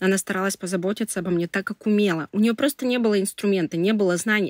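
Recorded very cleanly against a silent background, with a dry, close sound and no echo, a woman speaks in an ordinary speaking voice at medium pitch with ordinary pitch variation. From Russia, Tyumen. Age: 30s. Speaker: public relations specialist. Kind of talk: personal story interview.

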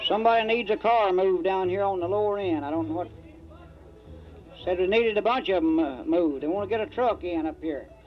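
A man talks at a very fast pace, with faint music in the background. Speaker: band leader emcee. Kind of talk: stage announcement. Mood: friendly, folksy. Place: street.

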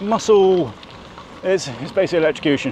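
A man speaks at a high pitch. The sound is dry with no echo, and there is light background noise. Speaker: cycling vlogger. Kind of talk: casual vlog chat. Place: bicycle.

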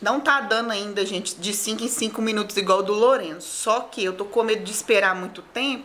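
Here a woman talks with ordinary pitch variation. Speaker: pregnant vlogger. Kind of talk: casual vlog chat. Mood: calm but uncomfortable, in labor. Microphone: phone near.

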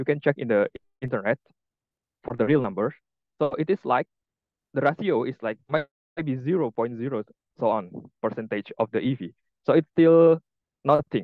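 A man's medium-pitched voice in an Indonesian accent, moderately paced with lively intonation and long, frequent pauses. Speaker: EV engineer. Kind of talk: presentation. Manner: halting.

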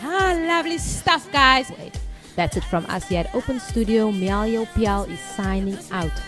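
Over clear music in the background, a woman with a fairly high pitch speaks at a fairly slow pace in an animated tone with very wide pitch swings. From South Africa. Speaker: TV presenter. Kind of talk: TV presenting. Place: studio. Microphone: handheld.

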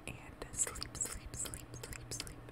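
Someone whispers while noticeable background noise carries on behind. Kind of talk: ASMR countdown. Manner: whispered, sleepy; slow, repetitive.

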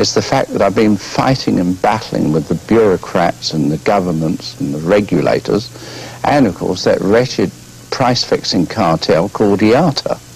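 Music plays in the background while a man talks. His voice is fairly low, with lively intonation at a moderate pace. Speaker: guest. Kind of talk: interview answer. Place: studio.

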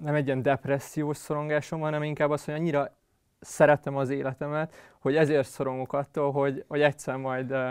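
A man with monotone, flat intonation at a moderate pace over a quiet background. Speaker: interview guest. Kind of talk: interview answer. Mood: reflective, slightly amused. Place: studio. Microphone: lapel.

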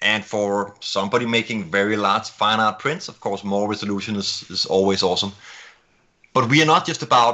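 A man with a Danish accent speaks at a fairly quick pace, his fairly low voice showing ordinary pitch variation. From Denmark. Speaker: camera company executive. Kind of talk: casual interview. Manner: quick talker.

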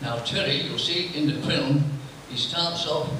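A fairly high-pitched man amid strong room echo and noticeable background noise. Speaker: table tennis player. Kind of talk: talk to an audience before a screening. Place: hall.

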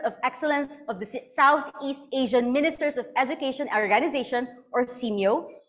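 A high-pitched woman with a Filipino accent, a fairly quick pace and ordinary pitch variation, against a quiet background. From Philippines. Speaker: event host. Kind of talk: event hosting. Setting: online event. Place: studio.

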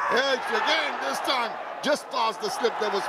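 Over crowd noise in the background, a man speaks fairly slowly with lively intonation. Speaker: cricket commentator. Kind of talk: live sports commentary.

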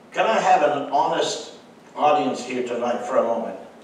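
A man talks at a fairly slow pace. The room echo is audible, and there is light background noise. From French-speaking background. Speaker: pastor. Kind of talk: sermon. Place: church.

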